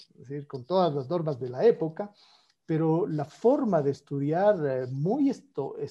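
A man with a normal speaking voice and a fairly high pitch talks against a quiet background. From Ecuador, Quito; Ecuador. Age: 50s. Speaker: economist and former economy minister; former economy minister. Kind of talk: political interview conversation. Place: home room. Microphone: earbuds.

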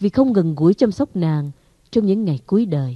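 A woman speaks in a dark, mellow tone with very wide pitch swings. The sound is dry and close, with no echo. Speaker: audiobook narrator. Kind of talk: literary audiobook reading of a short story, first-person nostalgic narration. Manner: slow, warm, wistful and formal, with soft expressive pacing.

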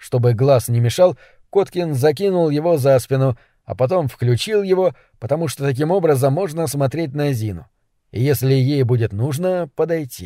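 A dark, mellow tone marks the voice. Its recording is very clean, and the background is silent. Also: man, fairly high pitch for a man, lively intonation, moderate pace. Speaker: audiobook narrator. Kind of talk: literary audiobook reading, third-person narration with quoted dialogue. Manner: even, measured storytelling pace, restrained.

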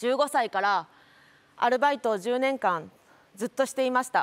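A woman is speaking. Her pitch is high. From Japan. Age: 30s. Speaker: lawyer and local politician; lawyer, local politician. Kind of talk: speech. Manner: formal. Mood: earnest, reflective. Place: stage. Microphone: lapel.

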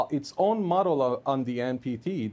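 The tone of this man's voice is dark and mellow. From Iran. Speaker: political analyst; guest. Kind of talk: news interview; interview answer. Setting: remote link from Tehran. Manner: hesitant, many fillers. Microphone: lapel.

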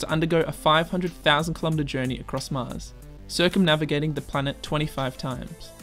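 A man at a moderate pace with fairly even intonation, music in the background. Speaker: science video narrator. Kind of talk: educational narration.

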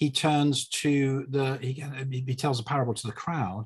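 Against a quiet background, a man talks in a somewhat breathy voice. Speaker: bible teacher in discussion. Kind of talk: conversational exposition of a bible passage. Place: home room. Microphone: video call.

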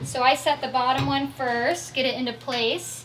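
In a raised, projected voice, a woman speaks over light background noise. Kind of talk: tutorial. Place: car.

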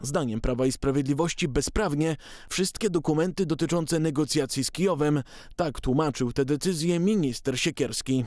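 Over a quiet background, a man with a plain, everyday voice speaks at a moderate pace, fairly high in pitch with ordinary pitch variation. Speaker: news presenter. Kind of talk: formal newsreading. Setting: studio. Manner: formal, brisk and even-paced, steady delivery; neutral, measured, authoritative tone.

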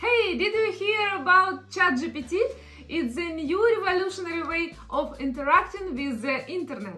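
With faint music in the background, a woman with a non-native accent speaks in a raised, projected voice at an extremely high pitch, using lively intonation at a fairly slow pace. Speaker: content creator. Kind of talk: casual explainer talk to camera. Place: home room.

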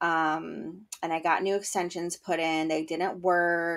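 A very slow pace with fairly even intonation in a very clean recording with a silent background. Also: woman. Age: 30s. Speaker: podcast host. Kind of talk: casual solo podcast monologue. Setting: home bedroom during thunderstorm. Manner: chatty with filler words.

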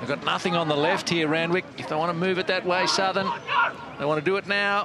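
Noticeable background noise runs under a man's high-pitched voice and animated tone. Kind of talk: live rugby match commentary. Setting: broadcast match commentary at a rugby ground. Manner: animated, rising to a shout at tries.

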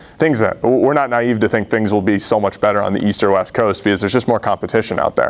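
A man at a very fast pace, fairly even intonation, very even loudness, and hardly any pauses. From Massachusetts. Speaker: startup founder; presenter. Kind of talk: audience Q&A answers; business pitch. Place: meeting room. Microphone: lapel.

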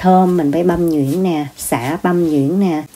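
A woman with a fairly low pitch, ordinary pitch variation and a very slow pace. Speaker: home cook vlogger. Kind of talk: cooking tutorial chat. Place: kitchen. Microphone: phone near.

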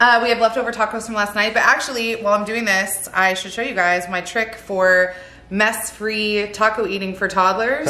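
Woman speaking at a moderate pace with fairly even intonation and audible room echo. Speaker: family vlogger. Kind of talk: casual vlog chat. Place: kitchen. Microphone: phone near.

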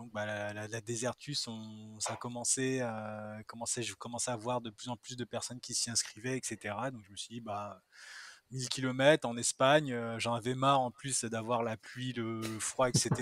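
A man speaks at a fairly slow pace and medium pitch, his intonation monotone and flat, with big swings in loudness. The recording is very clean, with a silent background and a dry, close sound with no echo. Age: 30s. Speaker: ultra-distance cyclist. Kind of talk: casual chat.

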